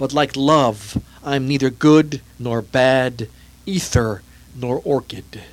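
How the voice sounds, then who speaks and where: In a very clean recording with a silent background, a man talks very slowly at a medium pitch with ordinary pitch variation. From Czech Republic. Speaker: poet. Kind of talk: poetry reading.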